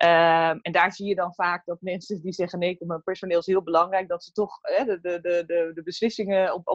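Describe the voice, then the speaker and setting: With an unremarkable speaking voice, a woman talks at a fairly quick pace and a fairly low pitch. The sound is dry and close, with no echo. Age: 40s. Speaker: workplace happiness consultant and coach. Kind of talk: casual interview. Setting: video call.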